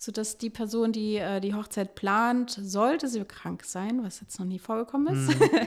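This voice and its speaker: A woman talks at a moderate pace with hardly any pauses. Her fairly high voice has lively intonation. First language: French and German (bilingual) (speaking German). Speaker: wedding planner and podcast co-host. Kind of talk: casual interview.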